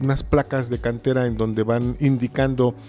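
At a moderate pace, a man talks while faint music plays in the background. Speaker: interview guest. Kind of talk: interview answer. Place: church. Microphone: handheld.

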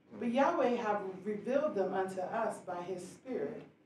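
A woman speaks at a fairly slow pace amid light background noise and audible room echo. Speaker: scripture reader. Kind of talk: scripture reading. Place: church.

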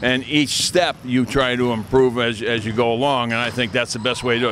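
Against light background noise, a man talks at a fairly quick pace in a monotone, flat intonation, with a dry sound and no echo. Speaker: basketball camp coach. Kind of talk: interview answer. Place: hall. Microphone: handheld.

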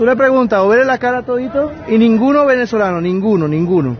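The speech moves at a fairly quick pace with lively intonation. The sound is dry with no echo, and there is light background noise. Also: man. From Venezuela. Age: young. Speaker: citizen filming a protest. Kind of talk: heated street argument. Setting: outdoors. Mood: mocking, indignant. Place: street. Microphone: phone near.

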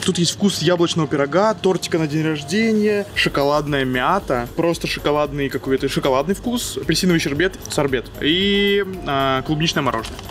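With faint music in the background, a man speaks at a moderate pace, his loudness very even and his pitch variation ordinary. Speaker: vlogger. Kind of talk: casual vlog chat, taste review. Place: shop. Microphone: lapel.

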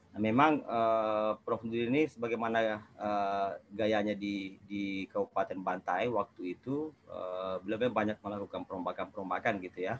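A man with a fairly low pitch and fairly even intonation talks at a moderate pace with hardly any pauses. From South Sulawesi, Indonesia. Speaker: legislative watchdog activist; webinar panelist. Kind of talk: webinar presentation. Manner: halting, many fillers. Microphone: earbuds.

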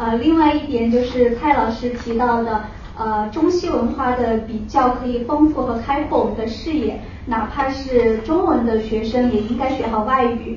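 A woman speaks at a moderate pace and a high pitch, with light background noise and audible room echo. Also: ordinary pitch variation. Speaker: amateur poetry lover. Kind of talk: audience comment. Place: hall.

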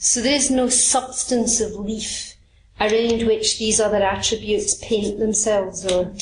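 Monotone, flat intonation in a Scottish accent, with noticeable background noise. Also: woman. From Scotland. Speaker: Buddhist teacher. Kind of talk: dharma talk.

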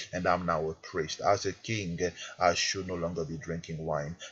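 A somewhat breathy man at a moderate pace. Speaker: prayer minister. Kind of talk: fervent prayer. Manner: emphatic, commanding; earnest, urgent.

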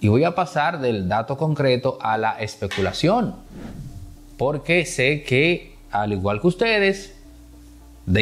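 A man's voice with very wide pitch swings. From Dominican Republic. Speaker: political commentator. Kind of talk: political commentary monologue. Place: studio. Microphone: lapel.

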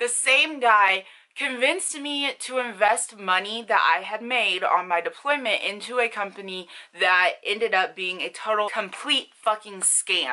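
Over a quiet background, a woman talks at a fairly slow pace with lively intonation and a bright, sharp tone. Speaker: beauty vlogger. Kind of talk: casual vlog chat. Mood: angry, indignant storytelling. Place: home room. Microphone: phone near.

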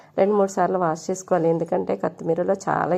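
Fairly low for a woman, her voice has a dark, mellow tone and vocal fry. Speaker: cooking vlogger. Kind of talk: cooking tutorial.

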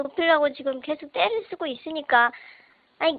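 A woman's voice with ordinary pitch variation. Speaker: lawyer. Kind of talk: interview answer.

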